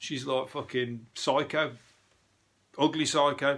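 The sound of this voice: Slow and fairly even in intonation, a man with a Birmingham accent speaks at a fairly high pitch with a fairly bright tone. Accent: Birmingham (Brummie).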